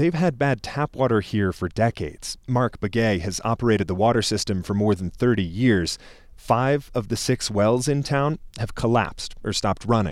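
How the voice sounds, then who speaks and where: A man's ordinary speaking voice with lively intonation, a moderate pace and hardly any pauses, on a very clean recording with a silent background. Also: medium pitch for a man. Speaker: radio reporter. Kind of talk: scripted narration.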